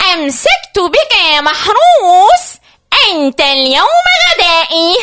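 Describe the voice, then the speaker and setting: An extremely high-pitched, put-on character voice at a very slow pace. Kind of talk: playful, theatrical. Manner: villainous, gloating.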